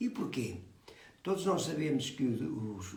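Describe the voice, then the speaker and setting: Audible room echo hangs around this man's voice. He talks at a fairly slow pace. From Portugal. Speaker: phytotherapist. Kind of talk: explanatory talk. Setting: live video call. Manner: soft-spoken; halting. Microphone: too quiet.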